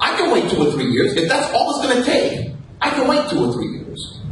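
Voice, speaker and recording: Pitch swings very widely at a fairly quick pace, with noticeable background noise and audible room echo. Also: man. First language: Castilian Spanish. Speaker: radio host, panelist. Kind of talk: panel debate. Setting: live event with audience.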